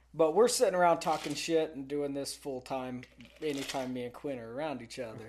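A plain, everyday voice: a man with an American accent, fairly high in pitch, at a fairly quick pace with ordinary pitch variation. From Texas. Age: 20s. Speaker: oilfield worker. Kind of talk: casual chat.

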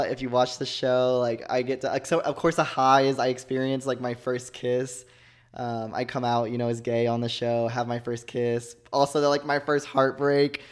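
Over a very clean recording with a silent background, a man with an American accent talks at a moderate pace in a monotone, flat intonation with hardly any pauses. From Texas (Joshua, south of Fort Worth). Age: 20s. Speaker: reality TV contestant. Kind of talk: casual interview.

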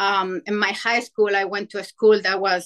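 Here a woman speaks with a Spanish accent. Her pitch is fairly high and her pace moderate. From Chile. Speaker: amateur ultrarunner. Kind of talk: podcast interview.

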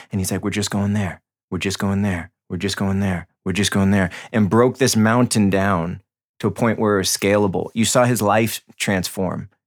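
An ordinary speaking voice with an American accent moves at a moderate pace. The intonation is fairly even, on a very clean recording with a silent background. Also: man, fairly low pitch for a man. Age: 30s. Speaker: breath and meditation coach. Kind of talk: casual interview.

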